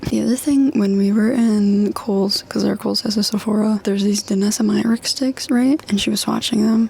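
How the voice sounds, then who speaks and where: A woman is whispering, with noticeable background noise behind her. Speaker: lifestyle vlogger. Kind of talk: casual haul vlog. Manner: animated.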